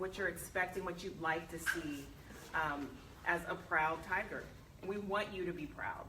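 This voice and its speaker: Through noticeable background noise and audible room echo, a woman talks at a fairly quick pace in a fairly low pitch with ordinary pitch variation. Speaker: university vice president, former news anchor. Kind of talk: speech to alumni meeting. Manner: loud.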